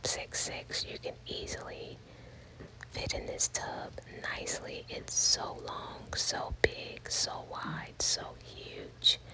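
This woman speaks in a whisper. Her pace is very slow. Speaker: ASMR content creator. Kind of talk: ASMR house tour, casual talk to camera. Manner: soft whispering, relaxing. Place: bathroom. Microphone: phone near.

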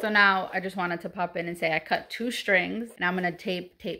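A woman with a bright, sharp tone and vocal fry, at a moderate pace with fairly even intonation. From Puerto Rican heritage. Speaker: YouTuber / craft vlogger; craft vlogger. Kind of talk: casual DIY vlog; casual vlog chat. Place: home room. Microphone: phone near.

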